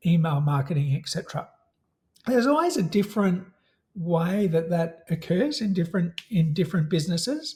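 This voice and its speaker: A man with an Australian accent speaks at a fairly quick pace, his pitch high and his tone dark and mellow. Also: ordinary pitch variation. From Australia, Melbourne. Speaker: software company representative. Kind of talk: casual interview.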